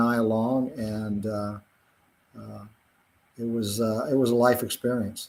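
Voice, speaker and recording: A man with an American accent talks at a fairly slow pace, his medium pitch held in monotone, flat intonation. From Virginia, rural Blue Ridge foothills. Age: 60s. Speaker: physician and cattle farmer. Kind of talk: interview. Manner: halting, many fillers.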